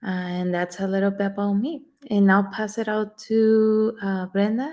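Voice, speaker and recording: At a moderate pace, a woman speaks with a dark, mellow tone at medium pitch and with fairly even intonation. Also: very clean recording, silent background. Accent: Spanish. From Mexico, Juarez. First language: Spanish. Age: 20s. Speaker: community organizer. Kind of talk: panel discussion.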